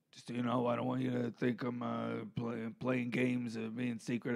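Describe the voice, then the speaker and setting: Putting on a character voice, a man speaks in a raspy tone at a medium pitch and a moderate pace. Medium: comedy sketch. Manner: rambling, halting, full of fillers.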